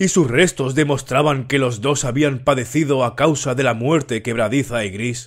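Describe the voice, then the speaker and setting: On a very clean recording with a silent background, a man talks at a fairly slow pace in an ordinary speaking voice, medium in pitch with ordinary pitch variation. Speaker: audiobook narrator. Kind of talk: horror audiobook narration, read aloud. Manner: slow, measured, somber storytelling.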